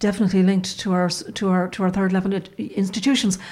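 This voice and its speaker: With an Irish accent, a woman speaks somewhat breathily at a fairly quick pace and medium pitch, her intonation fairly even. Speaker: journalist. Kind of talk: casual chat. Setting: studio.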